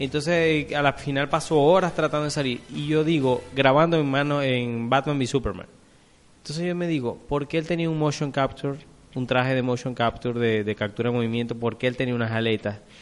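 Over background music, a man with a fairly high pitch speaks at a fairly quick pace. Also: ordinary pitch variation. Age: 30s. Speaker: film podcast co-host. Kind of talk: casual chat. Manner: halting.

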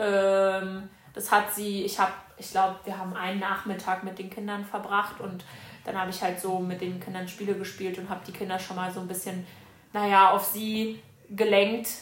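Flat, monotone delivery at a moderate pace, with big swings in loudness, audible room echo and noticeable background noise. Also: woman, medium pitch for a woman. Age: 20s. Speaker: former au pair. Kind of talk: casual chat.

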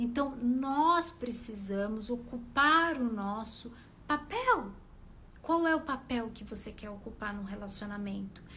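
With music in the background and audible room echo, a woman speaks very slowly in a high pitch, her intonation lively and her loudness swinging widely. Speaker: relationship coach. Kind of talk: live stream talk to followers. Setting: live video stream.

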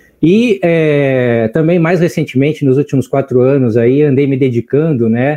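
A man's medium-pitched voice carries a dark, mellow tone and ordinary pitch variation in a dry, close sound with no echo and a quiet background. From Brazil, Porto Alegre (Rio Grande do Sul). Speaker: biologist and teacher. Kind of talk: casual chat.

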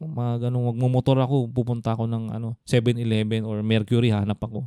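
His tone is dark and mellow. The man's pitch sits at a medium level. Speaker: podcast co-host. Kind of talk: casual chat; scripted intro.

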